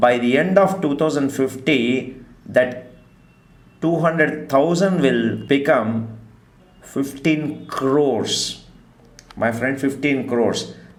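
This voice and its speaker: Very slow male speech at a fairly high pitch, with ordinary pitch variation, long, frequent pauses and audible room echo. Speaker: stock market teacher. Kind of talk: online class lecture.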